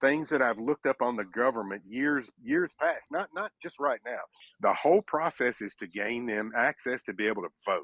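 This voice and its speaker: A man with a Tennessee accent, medium pitch and lively intonation, at a moderate pace, in a dry, close sound with no echo against a quiet background. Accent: Southern US (Tennessee). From US South. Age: 60s. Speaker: caller. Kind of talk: heated debate. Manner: animated.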